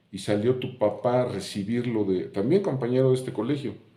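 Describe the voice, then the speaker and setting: A dark, mellow tone at a fairly quick pace, with ordinary pitch variation and audible room echo. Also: man. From Mexico, Puebla. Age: 70s. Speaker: YouTuber sharing memories. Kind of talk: casual monologue, reminiscing.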